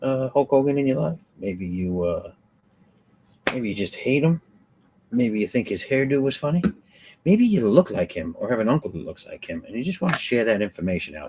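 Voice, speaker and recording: A man with a medium pitch and a dark, mellow tone talks at a fairly quick pace, his pitch swinging very widely and his loudness swinging a lot, with long, frequent pauses. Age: 50s. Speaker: live-stream host and artist. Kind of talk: casual chat. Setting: live stream. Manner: casual, swearing, joking.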